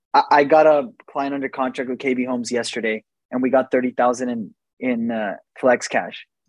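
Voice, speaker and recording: The recording is dry and close with no echo. A man with a medium pitch and an ordinary speaking voice talks at a moderate pace with fairly even intonation. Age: 20s. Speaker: real estate agent and investor. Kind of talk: casual chat.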